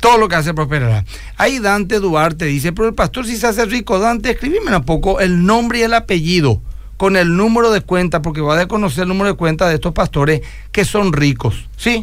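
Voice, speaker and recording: Fairly quick, high-pitched speech from a man, with noticeable background noise. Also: lively intonation. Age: 50s. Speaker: pastor. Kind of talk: radio call-in Q&A.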